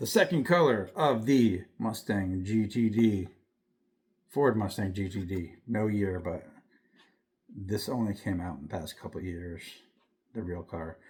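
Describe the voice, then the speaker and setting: A man speaks at a fairly slow pace in a fairly low, somewhat breathy voice with ordinary pitch variation. Long pauses come often. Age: 70s. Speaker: diecast collector YouTuber. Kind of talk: casual show-and-tell vlog. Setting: dim room at home. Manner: casual, rambling with fillers.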